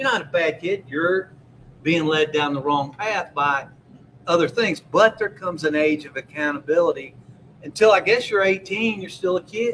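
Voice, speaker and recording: A high male voice with ordinary pitch variation. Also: moderate pace. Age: 60s. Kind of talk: casual chat.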